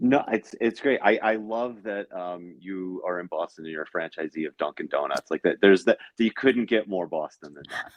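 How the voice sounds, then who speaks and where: With a New York accent, a man talks at a moderate pace with hardly any pauses, a fairly low pitch, ordinary pitch variation and big swings in loudness, in a dry, close sound with no echo. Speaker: podcast co-host. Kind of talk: podcast interview.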